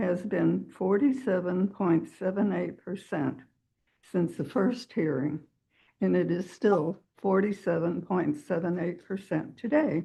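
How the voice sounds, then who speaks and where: The voice carries vocal fry and lively intonation. It moves at a fairly slow pace. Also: woman, fairly low pitch for a woman. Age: 80s+. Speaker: neighbor speaking at public hearing. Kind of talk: public comment at council meeting. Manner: halting.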